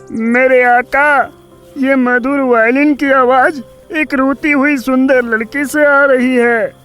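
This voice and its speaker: A cartoonish character voice with a high pitch moves at a fairly slow pace over faint music in the background. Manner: deferential to its master.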